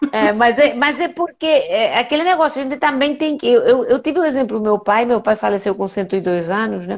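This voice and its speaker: Her voice is high, and her intonation is lively. The woman speaks at a fairly quick pace with hardly any pauses. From Spain, Majorca (Balearic Islands). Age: 60s. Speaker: medical doctor. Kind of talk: live interview. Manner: animated, conversational.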